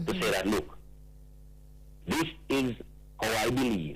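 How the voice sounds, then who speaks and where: The pace here is moderate. It belongs to a man. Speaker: poet and spoken word artist. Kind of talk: radio interview answer.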